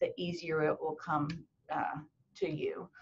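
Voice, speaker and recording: A woman talks at a very slow pace. Her voice is somewhat breathy. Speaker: medical school admissions dean. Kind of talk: webinar talk. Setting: video web chat. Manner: long-winded.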